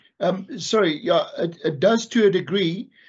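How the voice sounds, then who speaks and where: The voice is a man's. Its pitch varies in an ordinary way. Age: 60s. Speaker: architectural technologist. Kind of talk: webinar Q&A. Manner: halting.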